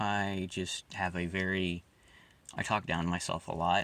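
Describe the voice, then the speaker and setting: A man speaks at a very deep, low pitch with vocal fry and ordinary pitch variation. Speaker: amateur artist vlogger. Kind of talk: casual commentary over drawing. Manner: downtrodden, low-energy.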